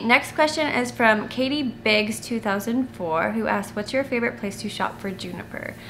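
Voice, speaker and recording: At a moderate pace and with hardly any pauses, a woman talks in a fairly high pitch over noticeable background noise. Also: ordinary pitch variation. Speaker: family vlogger. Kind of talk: casual Q&A chat to camera. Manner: halting, self-correcting with many fillers.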